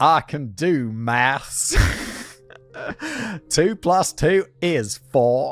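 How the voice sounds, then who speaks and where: A put-on character voice drawls in an American accent with lively intonation at a very slow pace. Long, frequent pauses break it up, with music in the background. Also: man, fairly high pitch for a man. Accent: drawly American. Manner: stereotypical drawl.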